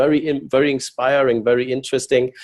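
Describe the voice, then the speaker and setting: A man's dark, mellow voice with a German accent, monotone and flat in intonation, at a fairly quick pace. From Germany. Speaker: company executive. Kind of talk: business presentation. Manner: halting.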